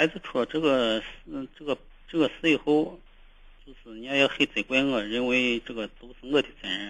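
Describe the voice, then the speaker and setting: This man speaks at a moderate pace and medium pitch, with ordinary pitch variation and big swings in loudness. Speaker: caller, father of a teenager. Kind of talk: phone-in consultation. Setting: phone call. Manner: halting; quiet.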